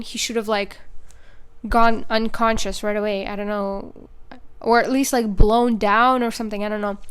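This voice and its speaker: Her fairly high voice flat and monotone, a woman speaks with a non-native accent. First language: not English. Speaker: movie reviewer YouTuber. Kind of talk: casual video review monologue. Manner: casual, filler-heavy.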